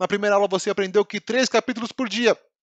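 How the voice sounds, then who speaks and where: Against a quiet background, a man with a high pitch talks in an animated tone, the sound dry and close with no echo. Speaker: Bible teacher. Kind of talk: online Bible class lesson. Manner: fast.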